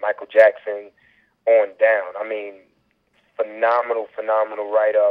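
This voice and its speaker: The man's speech holds a moderate pace. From Queens, New York. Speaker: R&B singer. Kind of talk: radio interview. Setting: phone call.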